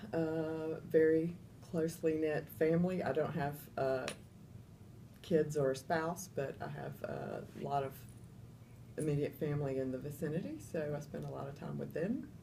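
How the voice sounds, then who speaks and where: In a Southern US accent, a woman speaks at a moderate pace with a very deep, low pitch, vocal fry and a dark, mellow tone. Her intonation is fairly even, broken by long, frequent pauses, with audible room echo. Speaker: interviewee in user research. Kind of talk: interview. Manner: hesitant, many fillers.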